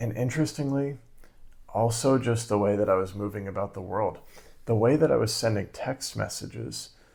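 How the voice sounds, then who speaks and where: A man with a fairly low pitch speaks quietly in a very clean recording with a silent background. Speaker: creativity coach and video creator. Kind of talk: casual vlog monologue. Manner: quiet, hushed for neighbors.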